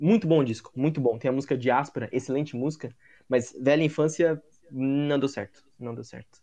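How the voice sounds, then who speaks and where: A man speaks with a fairly high pitch and a dark, mellow tone. His loudness swings widely. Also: ordinary pitch variation, moderate pace. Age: 20s. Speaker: podcast host. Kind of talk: casual chat.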